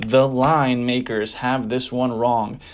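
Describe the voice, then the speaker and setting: Flat and monotone, a man with a medium-pitched voice speaks in a New Jersey accent. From New Jersey, US. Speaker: sports betting tipster. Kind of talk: casual sports predictions commentary.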